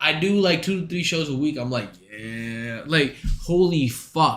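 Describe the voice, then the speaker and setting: A man's fairly high, animated voice with a non-native accent, lively intonation and a fairly slow pace, with audible room echo. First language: not English. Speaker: streamer and stand-up comic. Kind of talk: casual stream chat.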